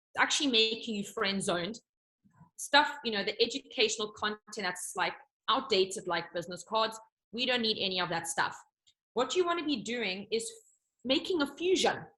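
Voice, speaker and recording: Her tone is animated, bright, and sharp, with lively intonation and a fairly high pitch. This woman leaves long, frequent pauses. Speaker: business coach. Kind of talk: coaching talk on a group call. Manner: fast.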